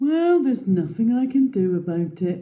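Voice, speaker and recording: A woman's put-on character voice at a medium pitch, with a moderate pace. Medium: read story. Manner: playful, mischievous.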